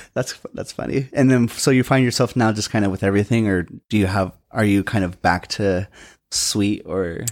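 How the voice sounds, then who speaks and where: A man talks at a moderate pace with a fairly low pitch. He has a normal speaking voice with ordinary pitch variation. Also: very clean recording, silent background. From western Washington, US. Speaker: podcast host. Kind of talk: casual interview. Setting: studio.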